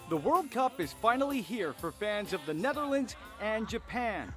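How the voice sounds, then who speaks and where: Over background music, a man talks at a moderate pace. His high pitch swings very widely. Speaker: TV news reporter. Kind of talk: TV news package narration.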